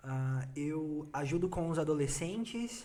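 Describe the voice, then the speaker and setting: A man speaks at a very slow pace in a dark, mellow tone that is somewhat breathy. Audible room echo surrounds his voice. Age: 20s. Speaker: church youth leader. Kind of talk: casual chat.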